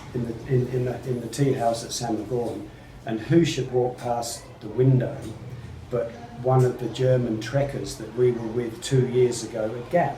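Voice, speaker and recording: Noticeable background noise and audible room echo fill the recording. A man speaks at a moderate pace and medium pitch, his intonation monotone and flat. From Australia. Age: 70s. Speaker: trekker. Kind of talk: interview.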